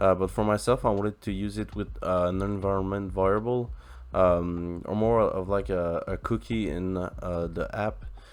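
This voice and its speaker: A man speaks in a French accent with a very deep, low pitch and fairly even intonation. His pace is moderate, and the background is quiet. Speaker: tech YouTuber, software developer. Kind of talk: coding tutorial. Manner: halting, many fillers.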